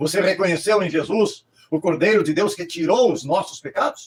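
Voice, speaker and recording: This man's pace is fairly quick. He is the one speaking. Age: 80s+. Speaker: pastor. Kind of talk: sermon. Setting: livestream.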